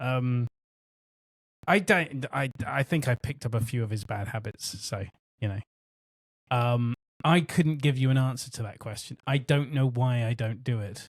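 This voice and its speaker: The speaker talks at a moderate pace with a West Country accent, somewhat breathy, with ordinary pitch variation and long, frequent pauses. The sound is dry and close, with no echo. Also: man, medium pitch for a man. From West Country, England. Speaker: podcast co-host. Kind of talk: casual chat. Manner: halting.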